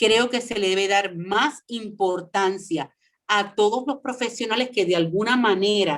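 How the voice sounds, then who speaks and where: Someone speaks fairly slowly with a Puerto Rican accent. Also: woman. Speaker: former radio host. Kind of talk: interview.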